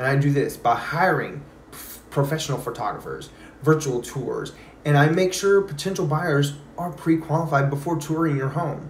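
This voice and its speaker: A man with an American accent talks at a moderate pace and a fairly high pitch, with fairly even intonation. Light background noise and audible room echo sit behind him. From Texas. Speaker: realtor. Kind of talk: sales pitch.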